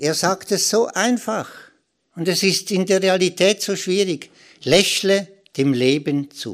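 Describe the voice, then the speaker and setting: In a very clean recording with a silent background, a man speaks with a high pitch. His pace is very slow, with long, frequent pauses. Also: ordinary pitch variation. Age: 60s. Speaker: spiritual author. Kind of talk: spiritual talk. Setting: stage with audience.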